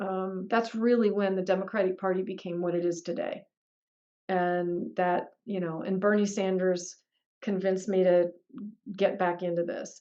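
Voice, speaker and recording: Her voice dark and mellow, a woman speaks at medium pitch and a moderate pace in a monotone, flat intonation. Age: 60s. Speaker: political candidate. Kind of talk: Q&A interview. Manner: conversational, with many fillers.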